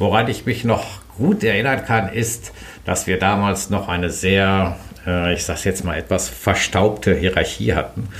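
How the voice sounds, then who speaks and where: A man's fairly low voice carries audible room echo, with noticeable background noise around it. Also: ordinary pitch variation, fairly slow pace. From Sauerland, Germany. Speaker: trade association lawyer and managing director. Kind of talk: interview. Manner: hesitant with filler sounds.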